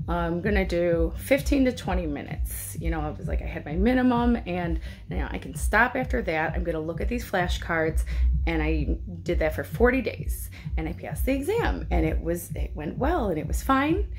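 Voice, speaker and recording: There is music in the background. Over it, a woman's voice carries audible room echo. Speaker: mental health video blogger. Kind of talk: casual monologue. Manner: fast.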